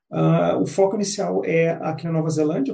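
This man's voice has a dark, mellow tone and sounds somewhat breathy. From southern Brazil, Porto Alegre. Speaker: career and business coach. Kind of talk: interview. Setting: community radio. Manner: halting, many fillers.

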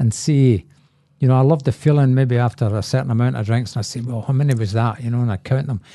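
Talking at a very fast pace in a Scottish accent, a man has a medium-pitched, somewhat breathy voice with a dark, mellow tone and ordinary pitch variation. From Scotland, Glasgow. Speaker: recovering alcoholic. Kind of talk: testimony.

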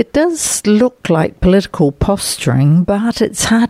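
A woman with a New Zealand accent is heard in a dry, close sound with no echo. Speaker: overseas correspondent. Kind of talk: scripted report.

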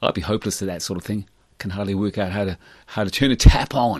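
This man's tone is warm and upbeat as he talks at a very fast pace. The background is quiet. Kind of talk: radio DJ patter between songs, plugging theatre shows. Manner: warm, upbeat, chatty community-radio host, friendly and conversational.

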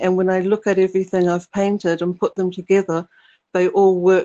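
A woman with a New Zealand accent speaks in a dark, mellow tone with monotone, flat intonation. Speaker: artist and painter. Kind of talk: casual chat. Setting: remote call.

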